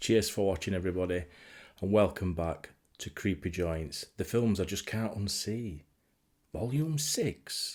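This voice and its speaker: In a very clean recording with a silent background, a man with a Yorkshire accent speaks at a fairly slow pace, his fairly low voice showing lively intonation. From Yorkshire, England. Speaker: horror film collector and vlogger. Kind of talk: casual talk to camera. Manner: enthusiastic, rambling.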